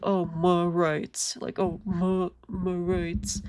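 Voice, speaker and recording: A whiny, put-on character voice from a woman, fairly low in pitch, very slow and flat, monotone in intonation. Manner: mocking.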